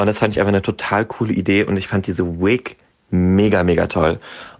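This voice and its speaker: Fairly even intonation and a moderate pace in a man's very deep, low voice. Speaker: guest. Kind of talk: casual conversational.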